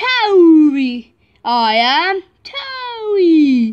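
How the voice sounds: In a cartoonish character voice, a woman speaks at a very slow pace with an extremely high pitch and big pitch swings.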